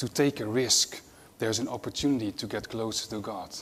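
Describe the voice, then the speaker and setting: A man talks with a Dutch accent. His pitch variation is ordinary. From Netherlands. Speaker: nurse-anesthetist and mission charity executive. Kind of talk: conference talk.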